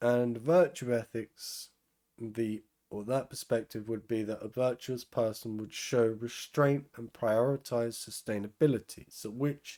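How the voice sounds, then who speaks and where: A man speaks at a very slow pace and a medium pitch. His tone is dark and mellow. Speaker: philosophy educator. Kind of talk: lecture. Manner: halting, with many fillers.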